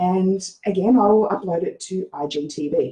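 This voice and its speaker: A woman with an Australian accent speaks at medium pitch in a dark, mellow, somewhat breathy tone with lively intonation. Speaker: social media marketing coach. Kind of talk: tutorial. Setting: Facebook live screen share. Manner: casual with frequent fillers.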